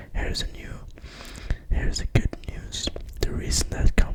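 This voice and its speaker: Whispered speech comes through over noticeable background noise. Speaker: ASMR creator. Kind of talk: ASMR book reading. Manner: whispered, soft-spoken.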